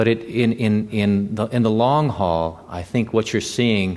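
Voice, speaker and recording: At a moderate pace, this is a normal speaking voice with fairly even intonation. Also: man. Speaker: farmer. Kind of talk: panel discussion.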